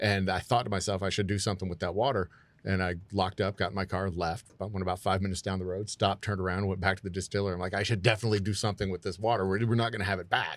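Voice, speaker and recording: In a Texan accent, a man speaks at a very fast pace with hardly any pauses, his very deep, low pitch held in a monotone, flat intonation. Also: very clean recording, silent background. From Texas, Houston. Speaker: distillery owner. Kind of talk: casual chat. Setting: studio.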